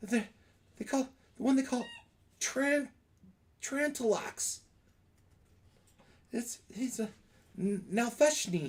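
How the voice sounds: In a put-on character voice, the speaker talks at a slow pace with lively intonation and long, frequent pauses. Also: man, extremely high pitch for a man.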